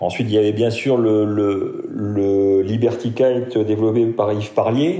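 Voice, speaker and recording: A man at a fairly slow pace with very even loudness, fairly even intonation and hardly any pauses, amid noticeable background noise and audible room echo. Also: medium pitch for a man. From France, Lorraine (Metz). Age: 50s. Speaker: amateur offshore sailor. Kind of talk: interview storytelling. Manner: hesitant, many fillers.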